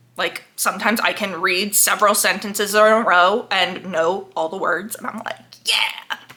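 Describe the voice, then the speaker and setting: A woman of medium pitch speaks in a monotone, flat intonation at a moderate pace over noticeable background noise. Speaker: book vlogger. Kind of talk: casual chat. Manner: casual, filler-heavy.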